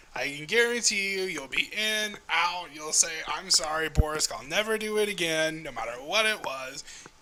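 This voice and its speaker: A man puts on a high-pitched character voice, speaking at a moderate pace. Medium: actual play. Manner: talkative, indignant, quick to complain.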